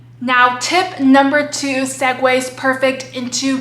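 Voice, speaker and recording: A woman speaks in a raised, projected voice with a high pitch and an animated tone, in an American accent. Noticeable background noise and audible room echo are present. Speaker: plant hobby youtuber. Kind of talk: casual vlog tutorial.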